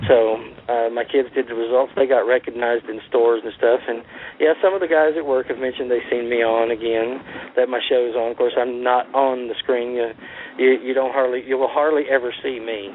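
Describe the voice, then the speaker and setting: A man at a fairly quick pace with fairly even intonation, against noticeable background noise. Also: medium pitch for a man. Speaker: racing TV show producer. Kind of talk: radio interview. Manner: halting.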